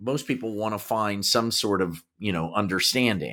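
On a very clean recording with a silent background, a man speaks fairly slowly at a fairly low pitch with a bright, sharp tone. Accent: American. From Kansas, US Midwest. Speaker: podcast co-host and actor. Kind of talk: casual conversation.

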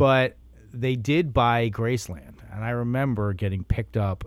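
Very wide pitch swings run through the man's somewhat breathy speech. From US East Coast, Wilmington, Delaware. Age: 40s. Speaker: podcaster and musician. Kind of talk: casual interview chat.

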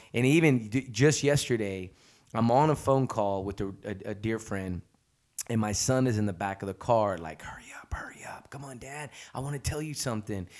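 An animated man's medium-pitched voice at a moderate pace, big swings in loudness, ordinary pitch variation, on a very clean recording with a silent background. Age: 40s. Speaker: podcast host. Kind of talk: casual interview chat. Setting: studio.

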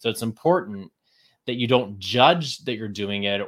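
With an American accent, a man talks in a plain, everyday voice at medium pitch with ordinary pitch variation. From Texas. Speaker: Broadway performer and creative life coach. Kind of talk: casual interview chat.

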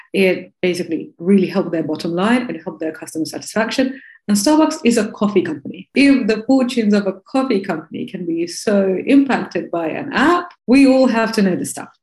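A woman talks at a fairly quick pace with hardly any pauses, her voice somewhat breathy and medium in pitch. Her intonation is lively. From Russia, Moscow. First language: Russian. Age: 30s. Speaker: tech educator and entrepreneur. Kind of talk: interview.

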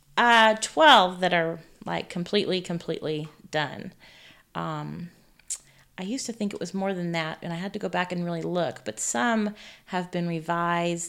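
A woman with an American accent speaks at a moderate pace in an unremarkable speaking voice, her pitch fairly low with ordinary variation. The recording is very clean, with a silent background. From California. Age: 40s. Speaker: author. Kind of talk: interview.

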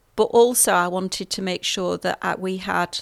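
Recorded very cleanly with a silent background and a dry, close sound with no echo, a woman with a British accent speaks at a medium pitch and a moderate pace. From England. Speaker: CEO and registered nurse, podcast host. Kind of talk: scripted intro then casual talk about own background.

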